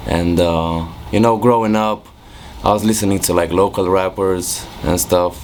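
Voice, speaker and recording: A man's very deep, low voice in a Romanian accent, fairly slow in pace, with very even loudness, ordinary pitch variation and noticeable background noise. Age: 20s. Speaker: music producer. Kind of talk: interview. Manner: casual, hesitant with fillers.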